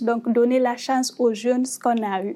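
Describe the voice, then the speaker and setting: Her intonation is monotone and flat. A woman with a high pitch speaks at a moderate pace. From Guinea. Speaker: startup cofounder. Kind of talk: panel discussion.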